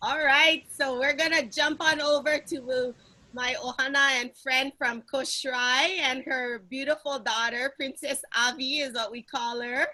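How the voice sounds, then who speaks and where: A woman with a Hawaiian accent uses a raised, projected voice at a high pitch, with fairly even intonation. She talks at a fairly slow pace with hardly any pauses, over noticeable background noise. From Hawaii, Kauai. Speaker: panel moderator. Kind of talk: panel discussion. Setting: video call.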